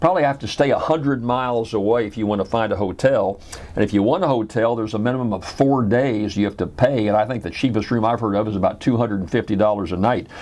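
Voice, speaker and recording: With hardly any pauses, a man speaks using ordinary pitch variation. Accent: slight Southern US. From Louisiana, US South. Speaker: radio host. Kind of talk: radio talk show monologue.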